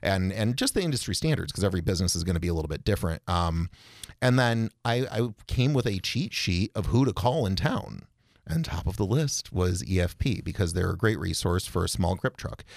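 Talking at a fairly quick pace with lively intonation, a man with a plain, everyday voice and an American accent has a fairly low pitch, on a very clean recording with a silent background. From Rochester, New York. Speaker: filmmaker and small business owner. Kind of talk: casual chat.

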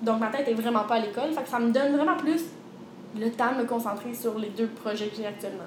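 A woman talks at a very fast pace with a fairly high pitch and ordinary pitch variation. Audible room echo and noticeable background noise are present. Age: 20s. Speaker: personal trainer and entrepreneur. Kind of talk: interview.

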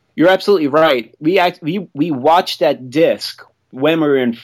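Lively intonation colors the delivery of a man with an ordinary speaking voice. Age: 40s. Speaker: film producer. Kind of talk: casual chat.

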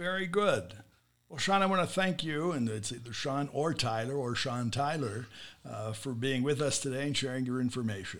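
A man with an American accent and an ordinary speaking voice speaks at a moderate pace, medium in pitch with lively intonation. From USA. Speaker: podcast host. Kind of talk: interview; scripted intro. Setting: studio.

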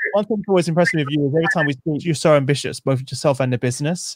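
A man speaks with a London accent. The recording is very clean with a silent background. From East London. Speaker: podcast host. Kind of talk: interview conversation.

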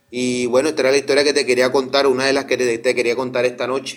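A man with a medium-pitched voice talks at a very fast pace in a monotone, flat intonation. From Colombia, Barranquilla. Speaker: caller. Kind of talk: phone-in story.

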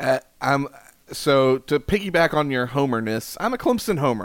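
Lively intonation runs through a man's fairly high, moderately paced delivery in a normal speaking voice. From South Carolina. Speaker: college baseball analyst. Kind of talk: casual chat.

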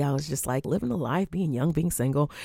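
A woman speaks with a very deep, low pitch and ordinary pitch variation. Her tone is dark and mellow. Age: 30s. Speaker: podcast host and teacher. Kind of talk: solo podcast monologue. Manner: casual, laughing.

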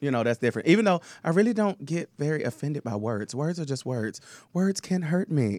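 An animated man with a Southern US accent talks at a fairly quick pace and fairly high pitch, his pitch swinging very widely in a dry, close sound with no echo. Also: very clean recording, silent background. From Tennessee. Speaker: drag performer and singer. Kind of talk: casual chat.

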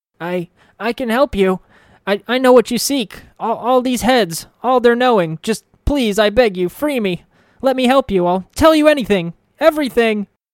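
A put-on character voice at a moderate pace, with ordinary pitch variation and a dry, close sound with no echo. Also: man, extremely high pitch for a man. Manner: pleading, desperate.

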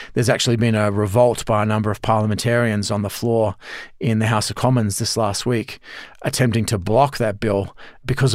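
This man has a fairly low pitch and an Australian accent, speaking at a fairly quick pace in monotone, flat intonation. The recording is very clean with a silent background. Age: 50s. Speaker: professor and former army officer. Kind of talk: interview.

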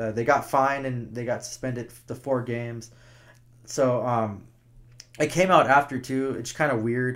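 This man's intonation stays monotone and flat. His voice sits at a medium pitch. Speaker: hockey podcast co-host. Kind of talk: casual sports talk podcast.

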